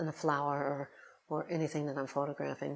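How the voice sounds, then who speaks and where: A woman with an American accent and a very deep, low pitch. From Cincinnati, Ohio. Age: 60s. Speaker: photographer. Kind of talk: personal reflection to camera. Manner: halting, many fillers.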